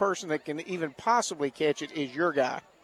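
The sound is dry and close, with no echo. A man talks at a fairly quick pace with ordinary pitch variation. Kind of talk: color commentary alongside play-by-play in a football broadcast. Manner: conversational, measured, analytical.

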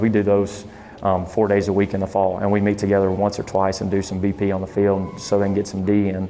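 Someone with a Southern US accent speaks at a very fast pace and with monotone, flat intonation over noticeable background noise. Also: man. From southern Arkansas (El Dorado). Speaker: junior college baseball coach. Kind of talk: interview.

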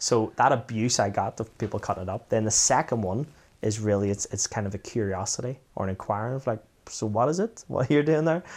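Recorded very cleanly over a silent background, a man of medium pitch speaks at a very fast pace with ordinary pitch variation. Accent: Belfast. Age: 40s. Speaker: former footballer. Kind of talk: casual chat.

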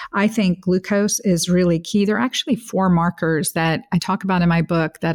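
A woman talks at a fairly quick pace in a very clean recording with a silent background and a dry, close sound with no echo. Hers is an ordinary speaking voice, fairly low in pitch, with fairly even intonation. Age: 50s. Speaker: integrative gynecologist. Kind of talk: interview.

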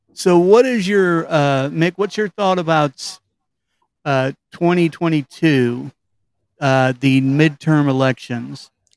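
Speaking at a very slow pace with long, frequent pauses, a man with a Kentucky accent and a fairly high pitch shows ordinary pitch variation, in a very clean recording with a silent background and a dry, close sound with no echo. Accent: Kentucky Southern US. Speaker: podcast host. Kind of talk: casual interview. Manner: hesitant, many fillers.

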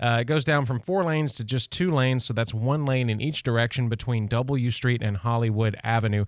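A man talks at a fairly quick pace with hardly any pauses, his medium pitch showing ordinary variation. He has an unremarkable speaking voice, and the background is quiet. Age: 40s. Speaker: radio traffic reporter. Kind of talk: traffic report. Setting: radio studio.

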